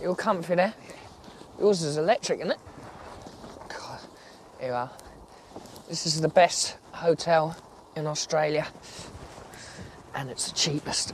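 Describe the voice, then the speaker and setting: Speaking at a fairly slow pace with long, frequent pauses, a man with a British accent has a fairly high pitch, ordinary pitch variation and big swings in loudness. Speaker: travel presenter. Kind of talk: travel documentary narration.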